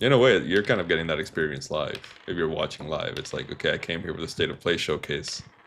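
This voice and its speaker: Noticeable background noise surrounds a man who talks very fast. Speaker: gaming streamer. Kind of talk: casual live-stream commentary. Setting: live stream with game audio. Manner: soft-spoken, ASMR-like.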